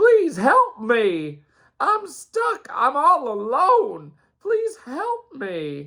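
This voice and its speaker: A put-on, high-pitched character voice at a very slow pace. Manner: pleading, accidentally funny.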